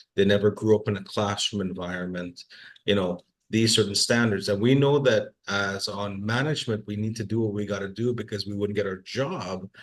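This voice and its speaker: Someone with a Trinidadian accent talks at a fairly quick pace, intonation fairly even. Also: man, fairly low pitch for a man. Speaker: workforce assessment manager. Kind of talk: webinar discussion. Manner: repetitive, halting.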